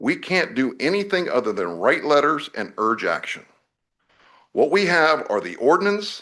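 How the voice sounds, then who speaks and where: A man with fairly high pitch and vocal fry speaks at a moderate pace in a bright, sharp tone. His pitch swings very widely, against a quiet background. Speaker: oversight committee member presenting to board. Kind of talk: formal public address. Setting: public meeting.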